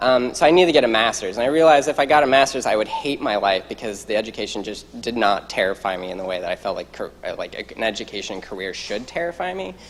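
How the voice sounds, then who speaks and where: With an American accent, a man talks at a very fast pace and medium pitch with lively intonation and hardly any pauses, over noticeable background noise. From US Midwest, southern Iowa. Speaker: medical student. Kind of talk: panel talk. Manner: casual, many fillers.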